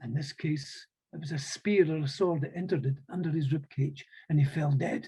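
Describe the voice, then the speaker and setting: Fairly quick and somewhat breathy, a man speaks at a fairly high pitch with a dark, mellow tone and ordinary pitch variation. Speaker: storyteller. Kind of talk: historical storytelling.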